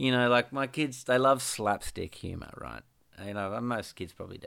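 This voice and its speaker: With an Australian accent and a bright, sharp tone, a man talks at a medium pitch and a moderate pace, his pitch varying in an ordinary way. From Western Australia (Perth). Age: 30s. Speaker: musician. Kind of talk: casual interview. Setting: Skype call.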